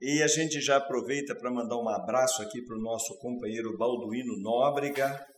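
A man speaks at a medium pitch and a moderate pace, with ordinary pitch variation. The room echo is audible, and there is noticeable background noise. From Paraná, Brazil. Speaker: company interview host. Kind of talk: interview. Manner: formal.

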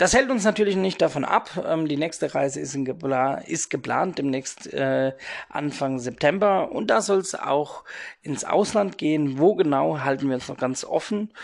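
A man's fairly high-pitched voice, an ordinary speaking voice, rises and falls with lively intonation. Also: moderate pace. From Rhein-Neckar area near Heidelberg, Germany. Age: 30s. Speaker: podcast host, youth worker and DJ. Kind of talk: casual solo podcast monologue.

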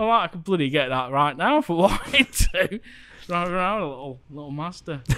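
Speaking fairly quickly with a Lancashire accent, a man uses a high pitch, lively intonation and big swings in loudness. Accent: Lancashire northern English. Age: 40s. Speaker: theme park YouTuber. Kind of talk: casual chat.

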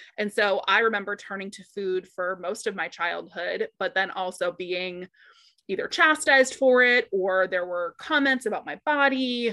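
A woman speaks at a moderate pace with a bright, sharp tone. The background is quiet. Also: medium pitch for a woman, lively intonation. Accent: American. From US Northeast, Boston area. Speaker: body image coach. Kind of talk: casual interview.

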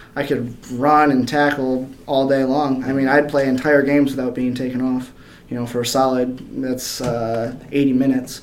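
Audible room echo surrounds a man with an American accent who speaks at a moderate pace and medium pitch in a monotone, flat intonation. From northern Michigan, Kalkaska. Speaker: metal finisher and amateur MMA fighter. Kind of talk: casual interview. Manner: hesitant, many fillers.

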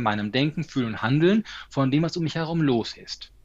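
An ordinary speaking voice from a man, fairly high in pitch with lively intonation, over a quiet background. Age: 40s. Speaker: stress management coach and speaker. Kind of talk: interview.

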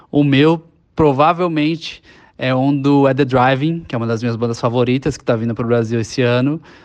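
Fairly quick, a man talks in a plain, everyday voice at medium pitch with fairly even intonation. The background is quiet. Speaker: listener guest, vinyl collector. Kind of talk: casual podcast conversation.

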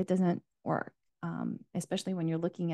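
A woman speaks at a fairly low pitch with a dark, mellow tone and vocal fry. The sound is dry and close, without echo. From US, immigrated from Asia at age four. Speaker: life coach. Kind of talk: casual interview chat.

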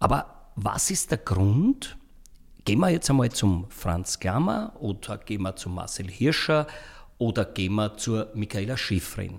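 A man with an Austrian accent speaks at a fairly slow pace, with a fairly low pitch, lively intonation and a somewhat breathy sound. The recording is very clean, with a silent background. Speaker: podcast host. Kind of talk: casual interview.

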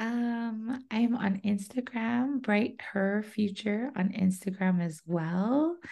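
Here a woman with a fairly high pitch talks at a very slow pace, with hardly any pauses. Her dark, mellow tone is somewhat breathy, with ordinary pitch variation. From Hawaii, north shore of Oahu. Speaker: financial advisor. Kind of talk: interview.

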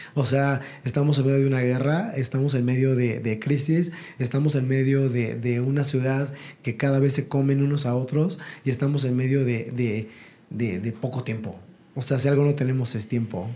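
This man's voice has a dark, mellow tone, a medium pitch and a somewhat breathy quality. He talks at a moderate pace with very even loudness and fairly even intonation. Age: 40s. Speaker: network marketing entrepreneur. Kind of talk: interview.

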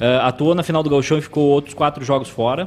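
In a southern Brazilian accent, a man speaks at a fairly high pitch with fairly even intonation. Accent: gaúcho Brazilian Portuguese. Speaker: sports commentator. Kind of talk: live sports talk show.

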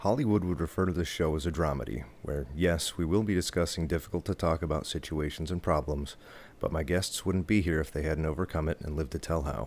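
A man with a very deep, low voice and vocal fry talks very fast with ordinary pitch variation on a very clean recording with a silent background. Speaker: podcast host and bassist. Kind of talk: scripted podcast intro.

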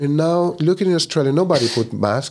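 A man in a Spanish accent. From Chile. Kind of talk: casual interview chat.

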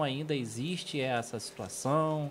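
This male speaker's fairly high voice unfolds at a very slow pace. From Rio de Janeiro, Brazil. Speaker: podcast co-host. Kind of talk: casual chat.

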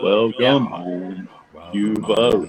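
The voice is a put-on character voice from a man. It sits at a medium pitch.

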